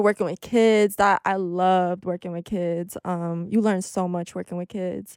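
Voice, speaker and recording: A woman speaks in a plain, everyday voice at a moderate pace with fairly even intonation. The recording is very clean and dry, close with no echo, over a silent background. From Albania, raised in New York City. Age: 20s. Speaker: podcast host. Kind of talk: casual chat. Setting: studio.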